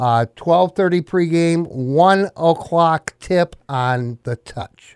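Speaking in a Midwestern American accent, a man has a high pitch and ordinary pitch variation. He talks at a very slow pace with hardly any pauses. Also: dry, close sound with no echo. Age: 60s. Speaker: sports broadcaster. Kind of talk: casual sports chat.

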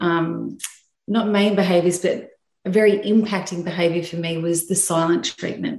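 A somewhat breathy woman with an Australian accent speaks at a moderate pace with ordinary pitch variation, amid audible room echo. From Sydney, Australia. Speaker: graphic designer sharing faith story. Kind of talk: personal testimony in interview.

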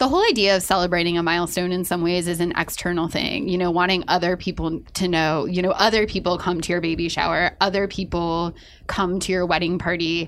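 A woman's fairly low voice, monotone and flat in intonation, at a fairly quick pace with hardly any pauses. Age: 30s. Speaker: podcast host, magazine editor. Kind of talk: casual chat.

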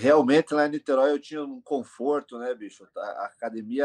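A man with a plain, everyday voice and a medium pitch speaks at a fairly quick pace, the sound dry and close with no echo. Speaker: MMA coach and team owner. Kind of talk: casual interview.

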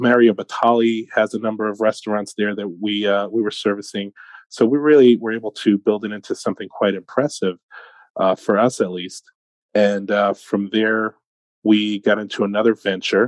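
A man talks with a New York accent. His intonation is monotone and flat. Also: moderate pace. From Brooklyn, New York. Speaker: sales and business leader. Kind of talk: interview.

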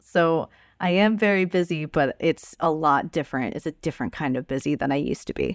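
Delivery moves along fairly quickly. No echo colors the dry, close recording. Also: woman, very deep, low pitch for a woman, ordinary pitch variation, very clean recording, silent background. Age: 30s. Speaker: tabletop game writer and streamer. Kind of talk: casual interview.

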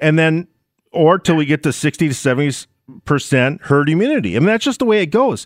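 With an Upper Midwest accent, the speaker talks at a very fast pace, with lively intonation and very even loudness. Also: man, fairly high pitch for a man. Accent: Upper Midwest American. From Minnesota. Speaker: talk radio host. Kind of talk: talk radio monologue and call-in.

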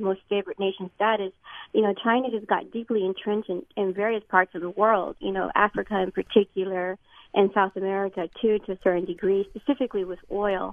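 A woman speaks at a fairly quick pace in a medium pitch with fairly even intonation. Hers is an unremarkable speaking voice. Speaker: radio caller. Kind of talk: phone-in question. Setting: phone call. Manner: articulate, measured.

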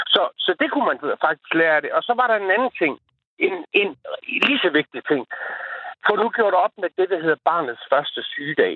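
Pausing long and often, a man with a high pitch and very wide pitch swings keeps a moderate pace at a very even loudness. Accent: East Jutland. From Horsens area, East Jutland, Denmark. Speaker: radio caller. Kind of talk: call-in chat. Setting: phone call.

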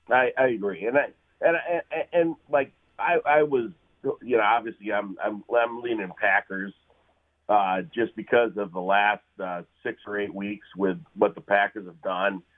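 With lively intonation and a medium pitch, a man talks at a moderate pace in an ordinary speaking voice. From US Midwest. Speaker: caller. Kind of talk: casual chat. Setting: phone call.

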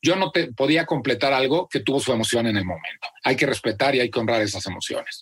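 Racing at a very fast pace with hardly any pauses, a man speaks in a medium pitch with lively intonation. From central Mexico (Celaya, Guanajuato). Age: 40s. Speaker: content creator and author. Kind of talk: interview. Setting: video call.

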